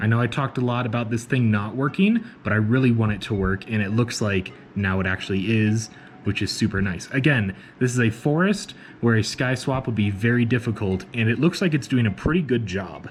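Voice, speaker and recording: A somewhat breathy, medium-pitched man's voice at a fairly quick pace, with ordinary pitch variation. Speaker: vlogger. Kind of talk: casual vlog. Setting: outdoors. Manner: casual.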